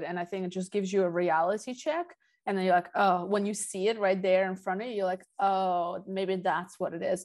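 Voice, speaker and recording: A woman speaks at a moderate pace and medium pitch, with fairly even intonation, in a normal speaking voice. The background is quiet. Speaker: podcast host. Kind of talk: casual interview conversation.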